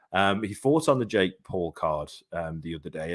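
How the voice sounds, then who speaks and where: Very wide pitch swings come through in an English accent at a moderate pace. The recording is very clean with a silent background. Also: man. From England. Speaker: boxing podcast host. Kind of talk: live podcast interview.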